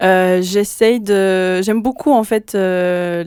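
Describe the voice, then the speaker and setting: Medium in pitch with ordinary variation, a woman's voice moves at a very slow pace. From French-speaking Switzerland. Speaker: pop singer. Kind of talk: radio interview. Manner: hesitant, many fillers.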